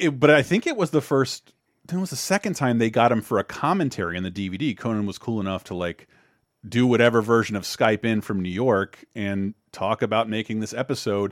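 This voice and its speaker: An ordinary speaking voice from a man with an American accent, medium pitch, lively intonation and a fairly quick pace, on a very clean recording with a silent background. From Florida. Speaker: podcast host. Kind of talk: casual chat.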